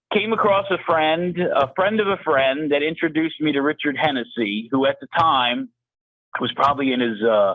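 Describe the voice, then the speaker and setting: A man with a plain, everyday voice, pitched fairly high, talks at a moderate pace with lively intonation and very even loudness. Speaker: engine builder, shop owner. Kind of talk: interview.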